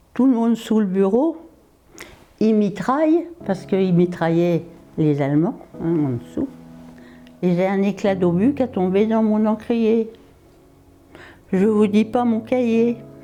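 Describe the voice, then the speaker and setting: A woman's fairly high voice, very slow with long, frequent pauses, lively intonation and very even loudness, over music in the background. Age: 90s. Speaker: elderly witness of wartime. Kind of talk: personal testimony.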